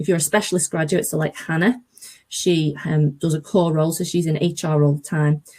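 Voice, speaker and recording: A woman speaks at a fairly quick pace with a very deep, low pitch and a somewhat breathy quality. Her tone is dark and mellow. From northern England, near Liverpool. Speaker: graduate recruitment manager. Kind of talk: webinar presentation. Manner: enthusiastic.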